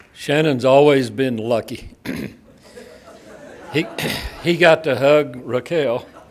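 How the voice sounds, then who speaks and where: The pitch moves with ordinary variation. Background noise is noticeable throughout. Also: man, long, frequent pauses. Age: old. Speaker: former college baseball coach. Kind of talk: ceremony speech. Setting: stage with audience. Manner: halting.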